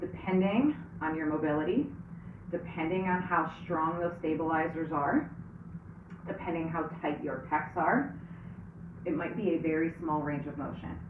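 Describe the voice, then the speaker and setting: A woman's very deep, low voice moves at a moderate pace with long, frequent pauses. Audible room echo and noticeable background noise surround her. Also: ordinary pitch variation. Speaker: fitness instructor. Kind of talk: tutorial. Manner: casual, conversational.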